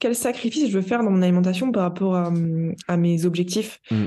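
Her tone dark and mellow, a woman talks with ordinary pitch variation. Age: 20s. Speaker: nutritionist and endurance athlete. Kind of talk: interview.

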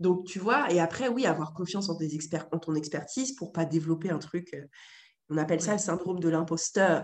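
A woman talks at a fairly quick pace in an ordinary speaking voice. Her pitch is fairly low, with ordinary pitch variation. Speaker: entrepreneur and model agency founder. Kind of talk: casual interview conversation.

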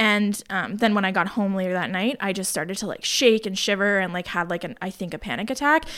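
A woman talks at a very fast pace with hardly any pauses. Her medium pitch has ordinary variation. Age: 20s. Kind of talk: casual chat.

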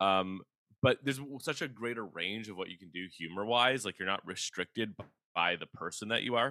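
A man's fairly low, bright and sharp voice moves at a fairly quick pace with ordinary pitch variation and big swings in loudness, recorded very cleanly against a silent background with a dry, close sound and no echo. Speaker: comedian and cartoonist. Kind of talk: casual interview chat. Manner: calm, laid-back.

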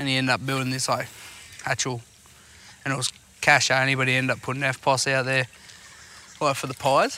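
A man with an Australian accent at medium pitch, monotone and flat, at a fairly quick pace with long, frequent pauses, over noticeable background noise. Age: 20s. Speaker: podcast host. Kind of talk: casual chat. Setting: outdoors.

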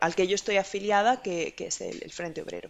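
A woman talks with a Spanish accent. Her pitch is medium. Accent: Spanish (Spain). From Spain. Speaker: IT consultant. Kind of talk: casual interview.

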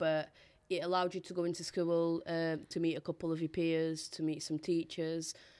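Over a silent background on a very clean recording, a woman speaks at a moderate pace in a fairly low pitch, her dark, mellow tone delivered in a monotone, flat intonation. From Portugal, raised in Bolton from childhood. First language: Portuguese. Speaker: poet and podcast co-host. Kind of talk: casual interview conversation.

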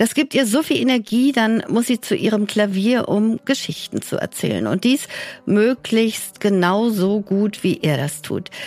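Using a normal speaking voice, a woman speaks at a fairly slow pace. Her pitch is fairly high and her intonation lively. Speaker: podcast host. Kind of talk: scripted presenting.

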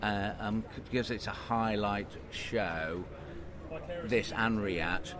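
A man with fairly low pitch and lively intonation, at a very slow pace with long, frequent pauses, over noticeable background noise. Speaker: ex-military pilot. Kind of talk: casual interview chat. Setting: outdoors at air show.

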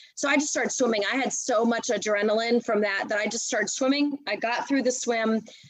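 A woman's fairly high pitch at a fairly quick pace with hardly any pauses, over noticeable background noise. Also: fairly even intonation. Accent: American. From US, Washington D.C. area. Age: 40s. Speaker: triathlete and nonprofit director. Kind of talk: casual interview.

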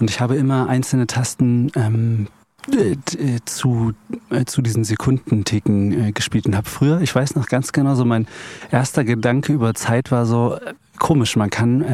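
At a moderate pace, a man speaks with a medium pitch, ordinary pitch variation and very even loudness. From Eichsfeld, Thuringia, Germany. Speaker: composer and pianist. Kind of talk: casual chat. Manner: halting.

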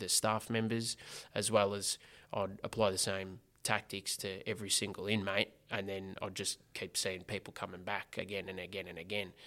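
Bright and sharp in tone, a man with a fairly low pitch and an Australian accent speaks in a monotone, flat way at a moderate pace, on a very clean recording with a silent background. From Australia, Geelong (Corio), Victoria. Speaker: former prisoner turned social entrepreneur. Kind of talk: casual interview chat.

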